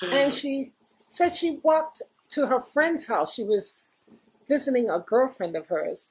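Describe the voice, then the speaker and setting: A woman with a New York accent speaks with lively intonation. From New York, the Bronx. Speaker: former graffiti artist; interviewee. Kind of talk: oral history interview. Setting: recording with small group present. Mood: warm, amused.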